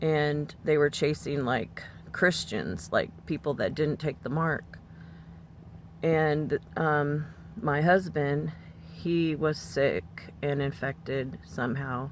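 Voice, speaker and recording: A woman's very slow speech, very deep and low in pitch, with vocal fry, ordinary pitch variation and long, frequent pauses. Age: 60s. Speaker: religious vlogger. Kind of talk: personal testimony monologue. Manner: casual with many fillers.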